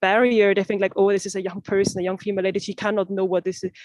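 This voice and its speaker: A woman speaks with a non-native accent at a medium pitch. The sound is dry and close, with no echo. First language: not English. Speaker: youth climate negotiator. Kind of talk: panel discussion. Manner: halting, many fillers.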